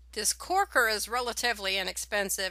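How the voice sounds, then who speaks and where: In a very clean recording with a silent background, a woman speaks at a moderate pace in a bright, sharp tone. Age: 60s. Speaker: home winemaking video maker. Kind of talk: tutorial. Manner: casual, with filler words.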